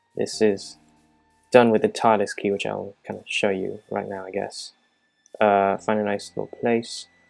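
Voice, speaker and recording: Music plays in the background, and loudness swings widely. The pace is moderate. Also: man. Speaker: Minecraft map and mod creator. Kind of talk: casual gameplay walkthrough narration. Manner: hesitant, many filler sounds.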